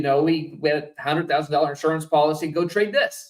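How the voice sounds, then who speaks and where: A man with an American accent speaks at a fairly high pitch. His intonation stays fairly even. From Texas. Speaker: trader and trading firm co-founder. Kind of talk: interview. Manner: halting.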